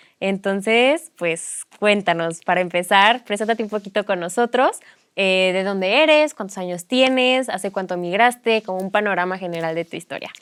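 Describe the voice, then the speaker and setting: A woman talks at a medium pitch with hardly any pauses. Music plays in the background. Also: ordinary pitch variation, moderate pace. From Mexico. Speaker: podcast host. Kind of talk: interview.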